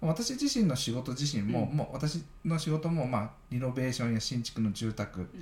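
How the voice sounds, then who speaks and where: Moderate pace with ordinary pitch variation and hardly any pauses, over noticeable background noise. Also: man, medium pitch for a man. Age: 40s. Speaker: architect, podcast host. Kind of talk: casual chat.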